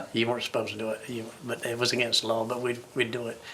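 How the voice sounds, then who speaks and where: Talking at a very fast pace, a man has a bright, sharp tone. His pitch is medium. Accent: American. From Chincoteague Island, Virginia Eastern Shore. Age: 70s. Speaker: retired waterman. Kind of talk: oral history interview. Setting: museum. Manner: halting, with frequent repetitions.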